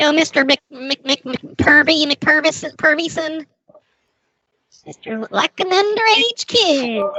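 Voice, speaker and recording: Delivered at a fairly slow pace, the put-on character voice has lively intonation. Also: woman, high pitch for a woman. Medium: game stream. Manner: pushy, condescending.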